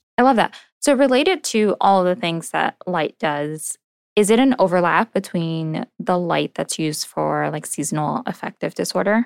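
In a very clean recording with a silent background and a dry, close sound with no echo, a woman with a plain, everyday voice speaks at a moderate pace and medium pitch with lively intonation. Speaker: dermatologist podcast host. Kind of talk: casual interview chat.

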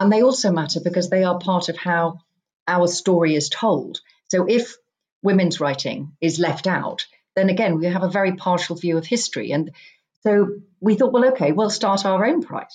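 A woman with an English accent speaks at a moderate pace. Her pitch is medium, with ordinary variation. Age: 50s. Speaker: author. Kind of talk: casual chat.

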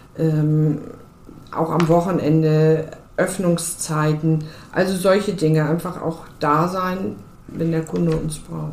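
A woman with a fairly low pitch and fairly even intonation is heard through noticeable background noise and audible room echo. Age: 50s. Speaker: car dealership co-owner and managing director. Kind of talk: interview.

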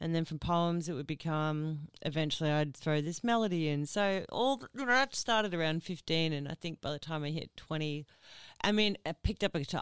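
A woman with an Australian accent talks at a fairly quick pace with lively intonation, on a very clean recording with a silent background and a dry, close sound with no echo. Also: fairly low pitch for a woman. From Ipswich, Queensland, Australia. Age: 30s. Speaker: singer. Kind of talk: casual chat.

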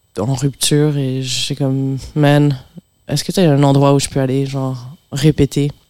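A woman's very deep, low voice carries a dark, mellow tone and monotone, flat intonation. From Montreal, Quebec, with time in France. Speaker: pianist and composer. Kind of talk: casual radio interview.

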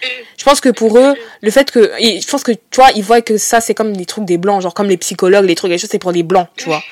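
In a dry, close sound with no echo, a woman with a plain, everyday voice speaks fairly quickly at a medium pitch with ordinary pitch variation. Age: 20s. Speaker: podcast host. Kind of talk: casual chat.

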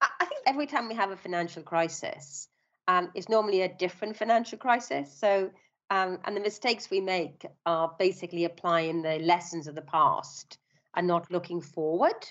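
A woman with a Welsh accent speaks at a medium pitch. Her pace is moderate and her pitch varies in an ordinary way. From South Wales, Swansea. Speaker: bank founder and CEO. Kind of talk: interview.

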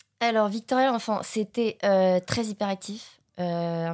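A woman talks at a very slow pace with fairly even intonation. The recording is very clean, with a silent background. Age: 20s. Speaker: acting student. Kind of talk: testimony.

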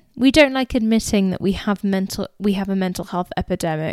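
A woman's medium-pitched voice with an English accent and lively intonation, on a very clean recording with a silent background and a dry, close sound with no echo. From England. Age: 20s. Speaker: podcast host. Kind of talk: casual chat.

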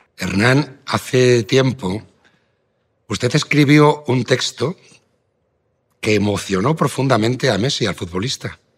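In a very clean recording with a silent background, a man of medium pitch speaks with ordinary pitch variation and long, frequent pauses. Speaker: radio host. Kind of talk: radio news talk.

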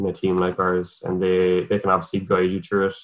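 In a Cork accent, a man with a very deep, low pitch and a bright, sharp tone speaks at a moderate pace in a monotone, flat delivery. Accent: Cork Irish. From Ireland, north Cork. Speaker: professional cyclist. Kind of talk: interview.

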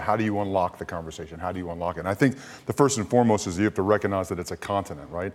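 With a Kentucky accent, a man speaks at a fairly low pitch. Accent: American (Kentucky). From US, Louisville, Kentucky. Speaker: former rugby player, rugby executive. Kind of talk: casual chat.

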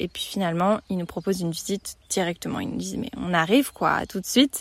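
Recorded very cleanly against a silent background, a woman speaks at a moderate pace with ordinary pitch variation, the sound dry and close with no echo. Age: 20s. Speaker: travel podcaster. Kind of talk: casual monologue. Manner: informal, hesitant with fillers.

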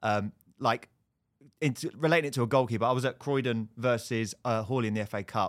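Heard on a very clean recording with a silent background, a man speaks in a medium pitch with fairly even intonation. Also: dry, close sound with no echo. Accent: southern English. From Hertfordshire, England. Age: 30s. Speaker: football TV presenter. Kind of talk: casual chat.

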